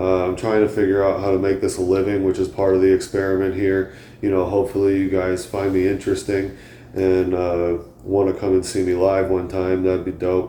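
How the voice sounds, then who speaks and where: This man's pitch is very deep and low, and his intonation stays monotone and flat. He talks at a fairly quick pace with very even loudness, and audible room echo surrounds him. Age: 30s. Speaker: comedian and podcast host. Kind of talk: casual monologue. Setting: home, on a couch. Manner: halting, many fillers.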